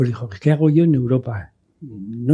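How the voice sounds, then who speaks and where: A somewhat breathy man with a dark, mellow tone, medium pitch and ordinary pitch variation, at a moderate pace. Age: 80s+. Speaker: sailor. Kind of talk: interview conversation. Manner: halting, with repeated words.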